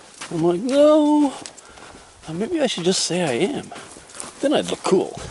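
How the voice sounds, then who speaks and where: Through noticeable background noise, a man's extremely high pitch moves in very wide pitch swings. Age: 60s. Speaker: hiker vlogger. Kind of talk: casual solo vlog narration while hiking. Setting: outdoors on a forest trail. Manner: rambling, halting with fillers.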